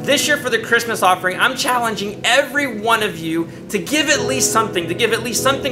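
Over clear background music, a man talks at a very fast pace with hardly any pauses. His voice is raised and projected. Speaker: pastor. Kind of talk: church appeal to the congregation. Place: studio.

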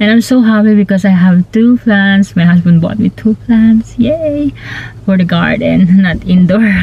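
A woman is heard with loud background noise. The sound is dry with no echo. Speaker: vlogger. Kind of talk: casual vlog chat. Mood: happy, cheerful. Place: car. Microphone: phone near.

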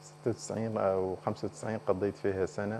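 Over light background noise, a man talks at a fairly low pitch in a dark, mellow tone with monotone, flat intonation. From Mauritania. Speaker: member of parliament; politician guest. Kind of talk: TV political interview. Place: studio. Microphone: lapel.

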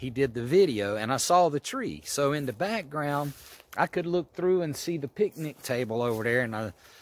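A man with lively intonation at a moderate pace, in a dry sound with no echo. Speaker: motorcycle camper vlogger. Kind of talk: casual vlog chat. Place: forest. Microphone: phone near.

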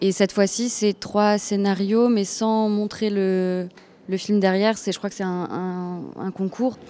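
The intonation stays monotone and flat. A woman delivers her words at a very slow pace. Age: 20s. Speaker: actress. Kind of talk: interview. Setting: film festival. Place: hall. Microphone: handheld.

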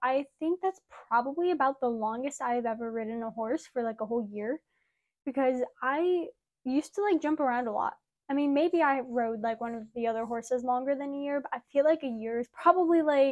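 Against a quiet background, a woman talks at a fairly quick pace in a high pitch with ordinary pitch variation. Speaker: horse rider vlogger. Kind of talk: casual vlog chat. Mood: cheerful, excited. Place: home room. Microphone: lapel.

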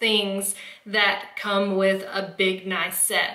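A woman talks with audible room echo around her. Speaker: home organizing vlogger. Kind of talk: tutorial. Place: kitchen.

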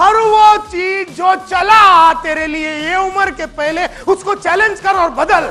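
Over faint background music, a man with an extremely high voice projects loudly, his intonation fairly even and his pace very slow. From India. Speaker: motivational speaker. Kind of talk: motivational seminar talk. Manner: fiery. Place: hall. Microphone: lapel.

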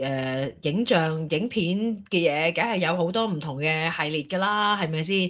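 At a fairly slow pace, a woman speaks with ordinary pitch variation. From Hong Kong. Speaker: talk show co-host. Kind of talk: casual chat. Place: home room. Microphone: studio mic.

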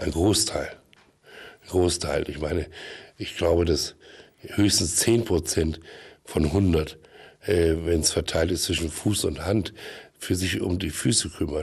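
Very deep and low, a man's somewhat breathy voice moves at a very slow pace with fairly even intonation and long, frequent pauses. The background is quiet. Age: old. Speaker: actor and film producer; actor. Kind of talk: comedic TV interview. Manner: halting. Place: studio. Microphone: studio mic.

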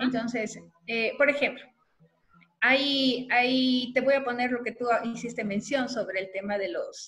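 A woman's fairly high, fairly bright voice at a fairly slow pace, with fairly even intonation.

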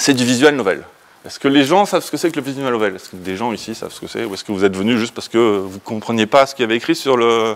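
A man's medium-pitched voice at a fast pace, with ordinary pitch variation.

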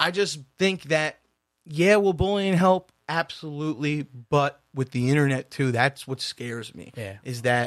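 Here a man with a plain, everyday voice and fairly high pitch speaks at a fairly slow pace with ordinary pitch variation, in a very clean recording with a silent background and a dry, close sound with no echo. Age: 30s. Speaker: podcast co-host. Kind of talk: casual chat.

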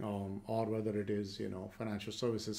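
This man has an ordinary speaking voice. His delivery moves at a moderate pace. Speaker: keynote speaker. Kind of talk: lecture. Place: home room.

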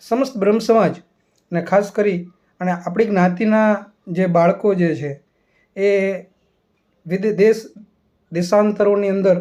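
A man's high-pitched voice carries a dark, mellow tone and fairly even intonation. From Gujarat, Saurashtra (Amreli district). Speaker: assistant professor. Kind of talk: formal invitation speech. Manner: formal; halting.

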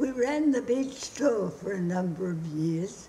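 A woman with an Australian accent, very slow and with lively intonation, over light background noise. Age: 80s+. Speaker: mother reciting her poem. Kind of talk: poetry reading. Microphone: phone near.

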